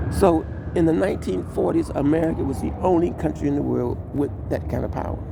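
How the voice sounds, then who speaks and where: A man talks at a fairly quick pace amid noticeable background noise, with audible room echo. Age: 70s. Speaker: amateur broadcaster. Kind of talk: political monologue. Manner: halting.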